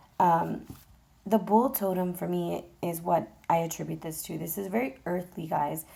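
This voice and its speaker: A woman talks at a moderate pace with a fairly low pitch and a dark, mellow tone. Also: ordinary pitch variation. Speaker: tarot reader. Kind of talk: tarot reading. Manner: casual and chatty.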